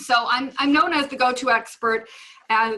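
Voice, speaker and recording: At a moderate pace, a woman talks in a fairly high pitch with a bright, sharp tone. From Minnesota. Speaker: real estate investor and coach. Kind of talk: webinar presentation. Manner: halting, many fillers.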